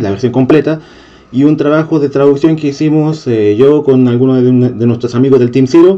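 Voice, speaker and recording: In a dark, mellow tone, a man speaks at a moderate pace with ordinary pitch variation. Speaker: channel host. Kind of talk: casual vlog chat. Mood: friendly, enthusiastic. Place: home room. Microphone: handheld.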